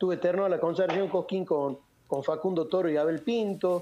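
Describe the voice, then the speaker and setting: A man talks at a moderate pace in a high pitch. Noticeable background noise sits behind him. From Argentina, Salta (northwest). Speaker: folk singer. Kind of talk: radio interview.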